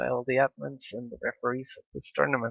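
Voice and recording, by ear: A man with a medium pitch, a fairly bright tone and vocal fry sounds dry and close, with no echo.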